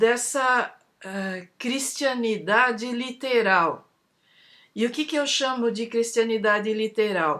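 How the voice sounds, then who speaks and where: Her pitch is fairly high with ordinary variation as the woman speaks. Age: 60s. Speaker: video essayist. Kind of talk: spoken reflection monologue. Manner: opinionated, informal.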